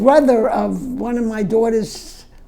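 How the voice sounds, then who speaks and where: A woman's dark, mellow voice with vocal fry, lively intonation and a very slow pace. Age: 80s+. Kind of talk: interview answer. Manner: hesitant, slow.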